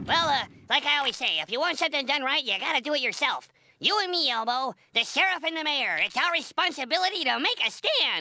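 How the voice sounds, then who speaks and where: A high-pitched cartoonish character voice rattles along at a very fast pace. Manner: polite, cheerful, earnest.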